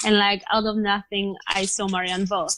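Against a quiet background with a dry, close sound and no echo, a woman with a Polish accent speaks at a medium pitch and a moderate pace in a monotone, flat intonation. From Poland, small mountain town. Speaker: professional cyclist. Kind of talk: interview.

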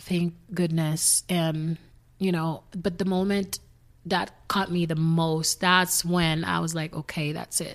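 A woman with a Haitian accent speaks very slowly in a fairly low, flat monotone, on a very clean recording with a silent background. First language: Haitian Creole. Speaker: singer. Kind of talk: casual chat. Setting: at home.

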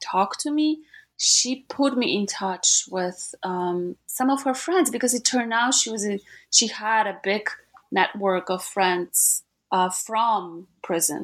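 Speaking at a fairly slow pace with a Polish accent, a woman uses medium pitch and ordinary pitch variation in a very clean recording with a silent background. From Gdańsk, Poland. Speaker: historian, author. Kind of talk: interview, academic discussion.

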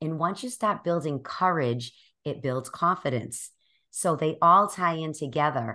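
Against a quiet background, a woman with a Boston accent speaks at a moderate pace, her very deep, low pitch carrying a bright, sharp tone. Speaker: life coach and podcaster. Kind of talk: interview conversation.

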